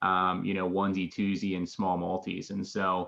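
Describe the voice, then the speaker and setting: In an American accent, a man speaks with a fairly low pitch at a moderate pace. He has a plain, everyday voice. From Philadelphia, Pennsylvania. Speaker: real estate investor. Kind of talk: interview.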